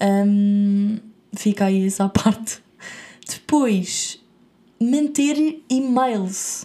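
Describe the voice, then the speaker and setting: In a European Portuguese accent, a woman speaks at a very slow pace with long, frequent pauses, her medium-pitched, dark, mellow tone somewhat breathy and showing ordinary pitch variation. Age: 20s. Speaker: podcast host. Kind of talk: casual chat.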